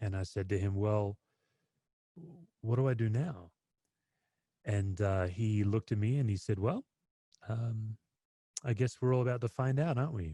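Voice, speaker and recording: A man with an American accent at a moderate pace, fairly low in pitch with ordinary pitch variation, in a dry, close sound with no echo. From Western Australia (Perth). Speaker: pastor. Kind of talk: webinar talk.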